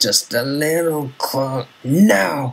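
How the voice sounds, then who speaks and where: This is a put-on character voice pitched low-to-middle. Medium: read story. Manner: muttering, under breath.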